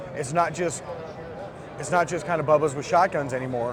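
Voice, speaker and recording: A man with an American accent speaks at a fairly quick pace and a fairly high pitch. Noticeable background noise can be heard. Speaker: firearms company representative. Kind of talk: product demo interview. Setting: trade show booth.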